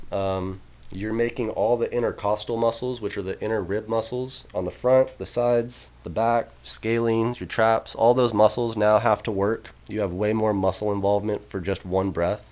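An ordinary speaking voice from a man at a medium pitch, moderate pace and fairly even intonation, with hardly any pauses. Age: 20s. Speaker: football and track coach. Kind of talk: casual chat.

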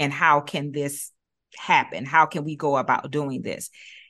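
A woman speaks with a very deep, low pitch in a bright, sharp tone. Her pace is fairly slow, and the background is quiet. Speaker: early learning nonprofit director. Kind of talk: podcast conversation.

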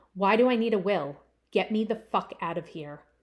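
A woman puts on a growling character voice at a medium pitch and a moderate pace. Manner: loud, panicked.

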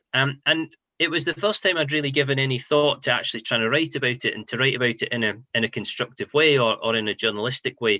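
Words come at a very fast pace from a man with fairly high pitch. He uses ordinary pitch variation. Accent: Scottish. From Scotland, near Edinburgh. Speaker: football journalist. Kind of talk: interview.

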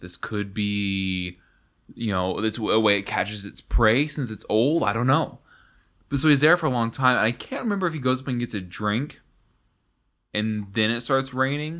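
A man speaks loudly at medium pitch and a moderate pace, with ordinary pitch variation and a bright, sharp tone. The recording is very clean, the background silent. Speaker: podcast co-host. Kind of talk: casual chat.

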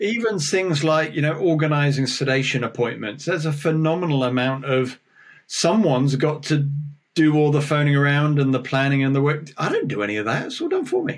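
With a normal speaking voice, a man talks at a fairly quick pace, fairly high in pitch, with ordinary pitch variation. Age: 50s. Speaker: oral surgeon and dentist. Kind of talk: casual interview.

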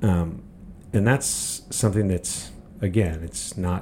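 The voice has a dark, mellow tone and is somewhat breathy. It moves at a moderate pace with an American accent. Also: man. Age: 50s. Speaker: podcast host. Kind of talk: opinion monologue. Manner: animated.

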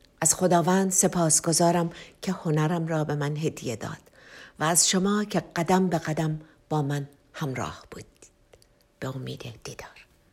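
A woman with a fairly low voice speaks at a moderate pace and with fairly even intonation, leaving long, frequent pauses, in a very clean recording with a silent background. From Tehran, Iran. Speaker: singer-songwriter. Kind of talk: autobiographical narration.

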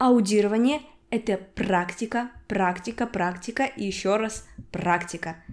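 A normal speaking voice moves at a fairly slow pace. Its pitch variation is ordinary. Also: woman. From Udmurtia, Russia. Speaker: podcast host, Russian language teacher. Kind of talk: language-learning podcast monologue.

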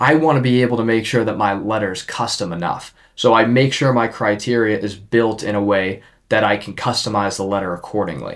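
Here is a man with a normal speaking voice, fairly low in pitch, with ordinary pitch variation. The recording is very clean with a silent background. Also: fairly quick pace. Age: 20s. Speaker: podcast host and young real estate investor. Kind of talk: casual interview chat.

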